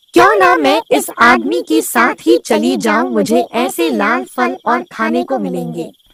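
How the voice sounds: A raspy, cartoonish character voice at middle pitch, fairly slow and with hardly any pauses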